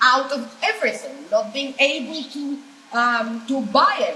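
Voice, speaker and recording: A woman with a Greek accent speaks at a moderate pace in a high, raised, projected voice, her intonation lively and some room echo audible. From Greece. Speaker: political activist. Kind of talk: panel discussion.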